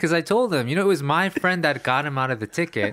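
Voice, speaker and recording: Here is a man with a plain, everyday voice and an American accent. His fairly high pitch moves with lively intonation. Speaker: podcast host. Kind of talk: casual chat.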